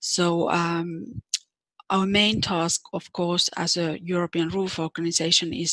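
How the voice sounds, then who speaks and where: With a Finnish accent, a woman talks at a fairly low pitch in a dry, close sound with no echo. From Finland. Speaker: nursing organization president. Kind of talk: conference presentation.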